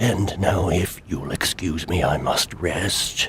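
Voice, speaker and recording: Using a put-on character voice, a man speaks with fairly even intonation. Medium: video game. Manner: formal, measured.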